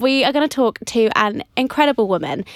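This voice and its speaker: Heard in a dry, close sound with no echo, a woman uses a normal speaking voice at a fairly slow pace with ordinary pitch variation. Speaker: podcast host. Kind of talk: casual interview chat.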